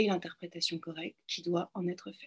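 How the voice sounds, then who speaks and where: A woman's voice comes through somewhat breathy. The sound is dry and close with no echo, over a quiet background. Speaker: philosophy doctoral student and clinical psychologist. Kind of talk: lecture. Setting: video call.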